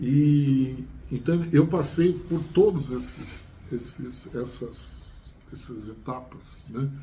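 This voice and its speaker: A man speaks at a very slow pace in a dark, mellow, somewhat breathy voice with ordinary pitch variation, big swings in loudness, long, frequent pauses and audible room echo. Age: 60s. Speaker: chemistry teacher. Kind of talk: casual chat. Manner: halting, many fillers and repetitions.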